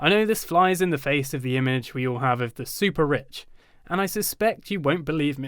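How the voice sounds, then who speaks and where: Speaking fairly quickly in a British accent, a man uses a fairly high pitch with lively intonation. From Britain. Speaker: online video presenter. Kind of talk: casual, humorous.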